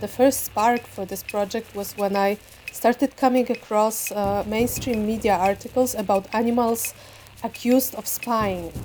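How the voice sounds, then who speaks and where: A woman's fairly high voice in a Polish accent, fairly even in intonation, at a moderate pace. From Poland. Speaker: visual artist and photographer. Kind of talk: interview about own work.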